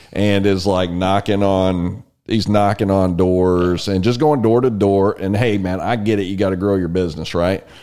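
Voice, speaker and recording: A man with a Texas accent, fairly low pitch, dark, mellow tone, moderate pace, fairly even intonation and hardly any pauses. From Texas, San Antonio. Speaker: podcast host. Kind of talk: interview; scripted intro. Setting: studio.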